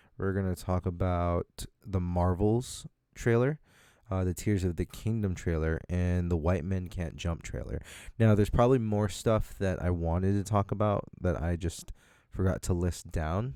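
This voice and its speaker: At a moderate pace, a man speaks in a very deep, low pitch with a dark, mellow tone and ordinary pitch variation, on a very clean recording with a silent background. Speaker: podcast host. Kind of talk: solo podcast talk. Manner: animated.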